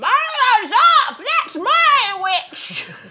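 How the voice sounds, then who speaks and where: This put-on character voice sits at an extremely high pitch and makes very wide pitch swings. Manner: menacing, wet and squelching.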